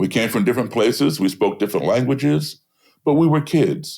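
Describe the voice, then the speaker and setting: A man with an American accent speaks with vocal fry. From US, embassy kid raised partly abroad. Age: 60s. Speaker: blues musician and race-relations activist. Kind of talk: interview conversation.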